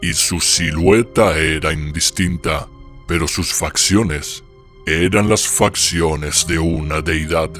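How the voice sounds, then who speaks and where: A man does a put-on character voice with a very deep, low pitch at a fairly slow pace. Clear music plays in the background. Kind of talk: horror narration. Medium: read story. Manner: slow, solemn, gloomy.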